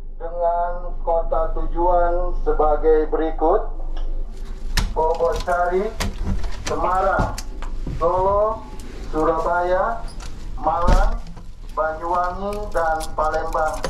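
The speech moves at a very slow pace with long, frequent pauses. Noticeable background noise runs underneath. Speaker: ship announcer. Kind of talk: public address announcement. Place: boat.

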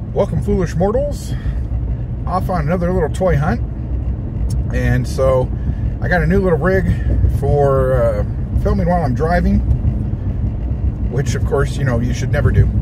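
A man keeps a moderate pace broken by long, frequent pauses, with loud background noise and a dry sound with no echo. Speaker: toy collector vlogger. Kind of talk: casual vlog chat. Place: car. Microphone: phone near.

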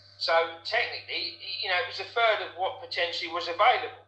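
A man speaks at a fairly quick pace while audible room echo surrounds his words. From Essex, England. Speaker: former nightclub doorman. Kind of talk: interview testimony. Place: home room. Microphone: webcam.

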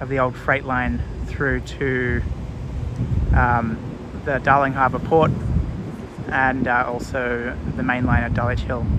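A man at a fairly slow pace with long, frequent pauses, in a dry sound with no echo, over noticeable background noise. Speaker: vlogger narrating a walk. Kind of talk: casual vlog commentary. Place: street. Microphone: phone near.

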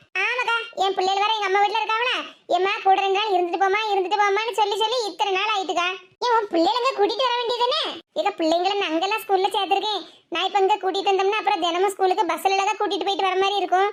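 A woman does a cartoonish character voice at an extremely high pitch. She talks at a fairly quick pace with fairly even intonation. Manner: chatty, teasing.

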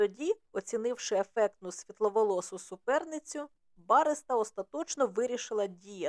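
This is plain reading aloud, and the intonation is lively.

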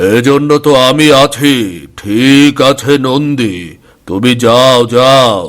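In a cartoonish character voice, a man talks very slowly at a medium pitch, keeping his loudness very even. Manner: smug, condescending.

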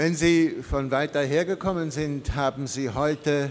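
Very slowly, a man speaks in a fairly high voice with ordinary pitch variation. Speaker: priest preaching. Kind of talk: sermon with a traffic-light metaphor, delivered to a church congregation. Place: church. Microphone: podium.

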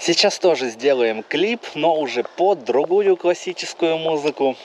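Light background noise sits behind a man talking at a fairly slow pace. The sound is dry, with no echo. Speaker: travel vlogger. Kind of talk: casual vlog chat. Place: garden. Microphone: phone near.

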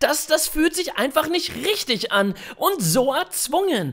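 Bright and sharp in tone, a man speaks at a very slow pace. His pitch swings very widely. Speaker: animator and voice performer. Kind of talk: comedy animation dialogue. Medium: cartoon.

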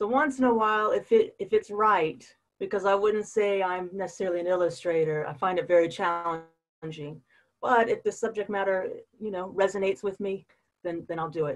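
With an American accent and ordinary pitch variation, the speaker talks at a fairly quick pace against a quiet background. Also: woman. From US South, Florida Panhandle; Florida. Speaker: painter; interviewee. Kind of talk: interview. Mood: friendly, smiling. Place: home room. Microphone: breaking up connection; video call.

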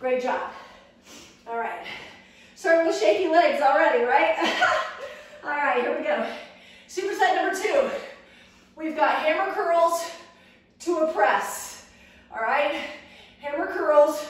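A woman speaks in an extremely high pitch with long, frequent pauses. Strong room echo surrounds her voice. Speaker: fitness instructor. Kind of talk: workout instruction. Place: gym. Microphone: camera far.

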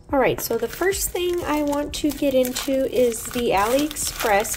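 A woman speaks at a fairly slow pace with a slightly mellow tone and ordinary pitch variation. Faint background noise sits behind her.

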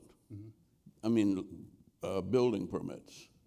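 At a fairly slow pace, a man talks in a fairly low pitch with a dark, mellow tone. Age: 80s+. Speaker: former mayor and civil rights leader; former mayor. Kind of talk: interview answer. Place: stage.

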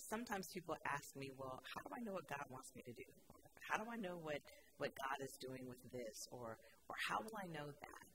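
A woman talks at a fairly quick pace with noticeable background noise behind her. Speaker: pastor. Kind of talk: sermon. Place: church. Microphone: podium.

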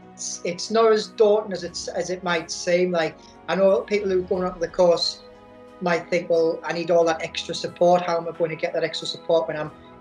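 A woman talks fairly quickly in a fairly low, monotone, flat voice, with faint music in the background. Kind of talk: interview answer. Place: home room. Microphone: webcam.

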